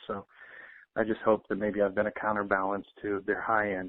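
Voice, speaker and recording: Speaking in a plain, everyday voice, a man keeps a moderate pace at a fairly low pitch. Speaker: financial intel commentator. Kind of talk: casual talk.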